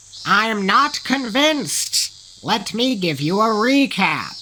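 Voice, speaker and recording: In a cartoonish character voice, a man speaks very slowly with high pitch, lively intonation, a theatrical tone and a raised, projected voice. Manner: theatrical, whimsical.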